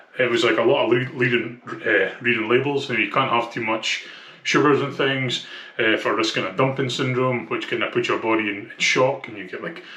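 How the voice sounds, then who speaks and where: With a strong Scottish accent, a man speaks at medium pitch and a moderate pace with fairly even intonation, amid audible room echo and noticeable background noise. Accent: thick Scottish. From Scotland. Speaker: vlogger documenting weight loss. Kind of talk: casual vlog. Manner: hesitant, many fillers.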